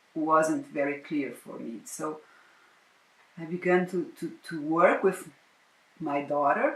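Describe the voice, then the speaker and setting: A woman's voice sounds very deep and low, with ordinary pitch variation. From Brazil. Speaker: psychotherapist and prenatal educator. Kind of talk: interview. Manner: halting, with frequent repetitions.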